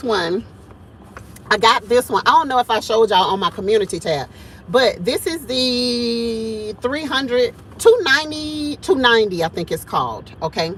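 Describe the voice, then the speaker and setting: Over noticeable background noise, a woman with a fairly high pitch sounds animated, using lively intonation at a moderate pace. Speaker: homesteading vlogger. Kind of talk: casual vlog monologue. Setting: in a truck. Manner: loud.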